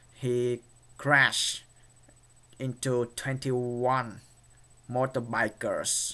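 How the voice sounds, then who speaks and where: The tone is bright and sharp. A man speaks with a Vietnamese accent. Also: very clean recording, silent background. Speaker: YouTuber. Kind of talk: vlog commentary. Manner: halting, many fillers.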